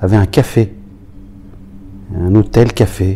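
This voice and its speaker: A man speaks at a fairly low pitch in a flat, monotone delivery. Noticeable background noise runs beneath him. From Paris region, France (Aubervilliers). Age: 60s. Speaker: former professional footballer. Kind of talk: oral history interview. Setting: recorded interview in Roubaix. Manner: halting, many hesitations.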